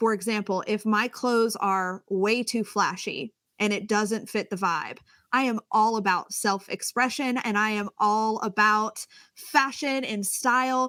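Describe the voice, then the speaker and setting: A loud woman's voice, fairly high, bright and sharp in tone, at a fairly slow pace. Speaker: communications coach. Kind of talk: interview. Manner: animated.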